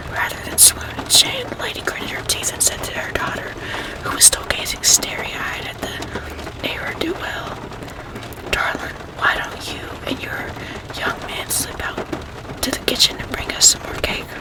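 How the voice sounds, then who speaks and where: A whispering woman with an American accent, big swings in loudness and a moderate pace, over noticeable background noise. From Arkansas, USA. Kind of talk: ASMR whispered reading. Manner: whispered, soft.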